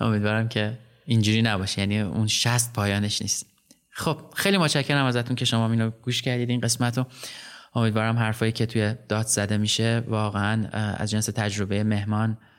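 In a very clean recording with a silent background, a man with a normal speaking voice talks at a medium pitch and a fairly quick pace, his intonation fairly even and his loudness very even. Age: 40s. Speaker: podcast host. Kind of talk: casual interview.

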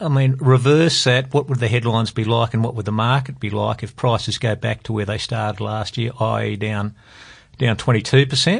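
Someone with an Australian accent talks at a moderate pace in a somewhat breathy voice with fairly even intonation. The background is quiet. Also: man, medium pitch for a man. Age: 50s. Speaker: private investor. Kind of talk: panel discussion about financial markets. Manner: hesitant, many fillers.

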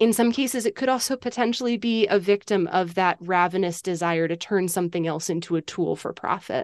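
A woman speaks in an ordinary speaking voice at medium pitch and a fairly quick pace, with ordinary pitch variation, hardly any pauses, and a dry, close sound with no echo. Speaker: author. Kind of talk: interview.

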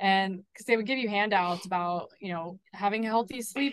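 With a normal speaking voice, a woman talks at a fairly quick pace at medium pitch and with fairly even intonation. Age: 30s. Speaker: mental health advocate. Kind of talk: casual interview.

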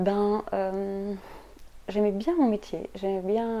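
With fairly even intonation, a woman speaks at a medium pitch in a dark, mellow tone. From Belgium. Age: 30s. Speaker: energy healer and astrologer. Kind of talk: casual interview.

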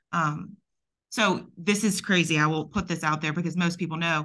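A bright, sharp tone in a Southern US accent, at a fairly quick pace with monotone, flat intonation. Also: woman. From US South. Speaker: podcast host, architect. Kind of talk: interview.

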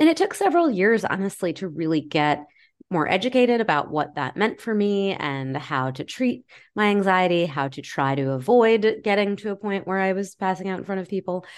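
A woman in a normal speaking voice talks at a fairly quick pace, with medium pitch and lively intonation. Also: quiet background. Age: 40s. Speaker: self-help author. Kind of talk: casual chat.

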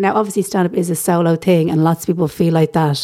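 With an Irish accent, a woman speaks at a fairly quick pace and a medium pitch, her dark, mellow tone carrying fairly even intonation. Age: 30s. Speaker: stand-up comedian. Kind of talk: casual interview.

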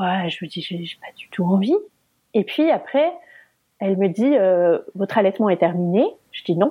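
A woman's medium-pitched, somewhat breathy voice at a moderate pace, with lively intonation, big swings in loudness, and long, frequent pauses. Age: 30s. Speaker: mother sharing childbirth injury story. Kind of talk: personal testimony.

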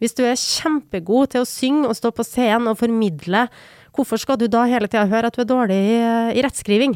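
A woman's unremarkable speaking voice, fairly high-pitched, at a fairly quick pace, with ordinary pitch variation, very even loudness and a dry, close sound with no echo. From Norway, Trondheim (Trøndelag). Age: 40s. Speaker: podcast co-host. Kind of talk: casual chat.

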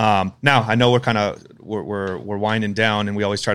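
Speaking at a fairly quick pace in a fairly low pitch, a man keeps a monotone, flat intonation on a very clean recording with a silent background. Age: 30s. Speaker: podcast host. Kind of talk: casual interview.

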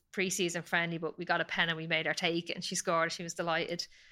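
Someone with an Irish accent talks very fast in a bright, sharp tone. The recording is very clean, with a silent background. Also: woman. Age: 30s. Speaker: professional footballer. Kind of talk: casual interview chat.

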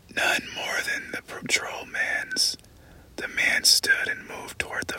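Someone is whispering at a fairly slow pace. There is noticeable background noise. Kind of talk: ASMR audiobook reading of a novel excerpt. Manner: slow, hushed, soft-spoken, intimate; measured, suspenseful, dramatic narration.

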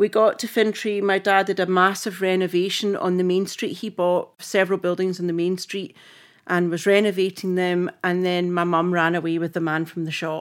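In a Scottish accent, a woman speaks at a moderate pace on a very clean recording with a silent background. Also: medium pitch for a woman. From Scotland. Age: 50s. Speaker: film costume designer. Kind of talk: casual chat. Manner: animated.

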